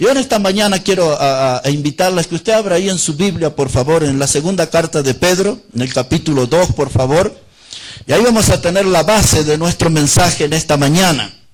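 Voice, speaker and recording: Over noticeable background noise, a man speaks at a fairly quick pace with a high pitch and lively intonation. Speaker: preacher. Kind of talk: sermon.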